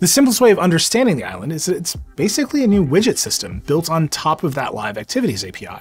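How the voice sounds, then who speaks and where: Speech rushes by at a very fast pace with hardly any pauses while faint music plays in the background. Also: man. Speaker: tech reviewer. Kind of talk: product review narration. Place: studio.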